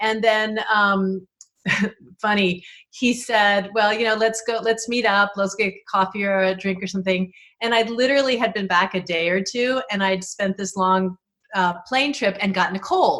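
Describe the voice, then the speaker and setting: This woman has a normal speaking voice at medium pitch. She talks at a moderate pace with fairly even intonation. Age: 60s. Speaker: interview guest. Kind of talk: casual chat.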